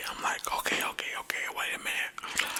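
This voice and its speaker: A man whispering at a moderate pace over noticeable background noise. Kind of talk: ASMR storytelling ramble. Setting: studio, binaural ear-to-ear microphone. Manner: animated, telling a car wreck story.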